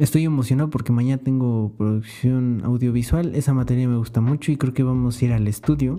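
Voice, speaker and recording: A man's dark, mellow voice at medium pitch, with very even loudness and hardly any pauses. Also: fairly even intonation, fairly quick pace. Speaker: podcaster and university student. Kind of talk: solo podcast monologue. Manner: casual, with many fillers.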